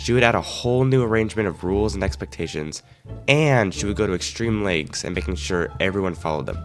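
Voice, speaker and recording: Very deep, low-pitched man with lively intonation at a very fast pace, music in the background. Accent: American. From Arizona, USA. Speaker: animator, storyteller. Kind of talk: casual story-time narration.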